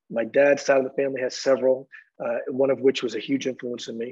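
An ordinary speaking voice, a man at a fairly high pitch talking at a fairly quick pace. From US Northeast (Boston). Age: 60s. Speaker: music industry executive. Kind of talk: interview.

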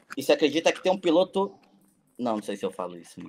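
The voice carries vocal fry and very wide pitch swings. Its pace is very fast. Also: man. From São Paulo city, Brazil. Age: 40s. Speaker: FPV drone pilot and cinematographer. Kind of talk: casual chat.

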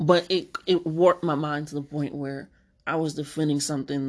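Against a quiet background, a woman speaks at a moderate pace. Her voice is very deep and low, with monotone, flat intonation. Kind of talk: casual monologue.

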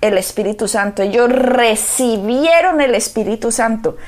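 Amid noticeable background noise, a woman talks at a fairly slow pace in a warm, solemn tone with lively intonation. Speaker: pastor. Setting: radio or TV program. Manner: earnest, fervent, solemn, declamatory; warm, emphatic, pastoral.

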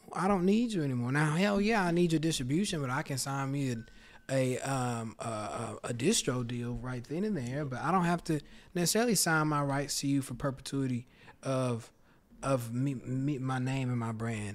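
In an unremarkable speaking voice, a man with an American accent speaks at a moderate pace, his fairly high pitch moving in a lively way. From Houston, Texas. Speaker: musician and rapper guest. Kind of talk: casual interview chat.

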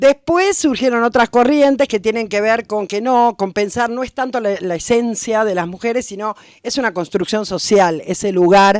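In a porteño accent, the speaker goes at a moderate pace with ordinary pitch variation, in a very clean recording with a silent background and a dry, close sound with no echo. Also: woman, fairly high pitch for a woman. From Buenos Aires, Argentina. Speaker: retired history teacher and researcher. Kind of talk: interview.

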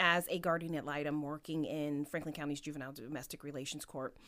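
With a Midwestern American accent, a woman speaks at a fairly quick pace in a bright, sharp tone. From Ohio, Canton. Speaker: judge. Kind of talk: interview.

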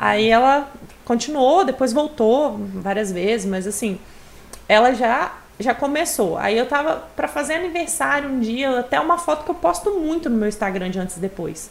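A woman's high-pitched voice with very wide pitch swings amid noticeable background noise. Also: moderate pace. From Espírito Santo, Brazil. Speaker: nutritionist. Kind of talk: casual chat.

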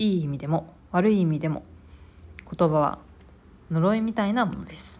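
A woman talks at a moderate pace in a fairly low voice with ordinary pitch variation. Her loudness swings a lot, and she makes long, frequent pauses. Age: 20s. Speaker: podcaster reviewing books. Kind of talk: solo book review monologue.

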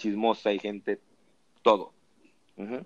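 A man's fairly low, monotone, flat voice at a moderate pace, with a dry, close sound and no echo. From Mexico, Lerdo, Durango. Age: 20s. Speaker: podcast host. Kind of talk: casual chat.

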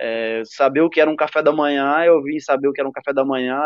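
With a normal speaking voice, a man at fairly high pitch speaks at a moderate pace with ordinary pitch variation. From Ceará, Brazil (Cariús). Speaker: professional footballer. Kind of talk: interview.

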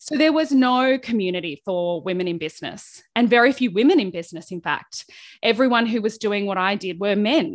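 This woman has an Australian accent and a medium pitch, with lively intonation. She talks at a fairly quick pace against a quiet background. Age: 40s. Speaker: small business coach. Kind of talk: interview conversation.

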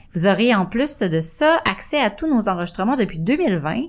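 The speaker talks at a fairly slow pace, with very wide pitch swings. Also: woman. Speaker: radio host. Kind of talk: casual chat.

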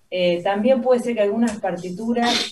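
At a fairly slow pace, a woman speaks with lively intonation. Her pitch is medium. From Argentina, Santa Fe. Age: young. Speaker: pianist. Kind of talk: radio interview. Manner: hesitant, many fillers.

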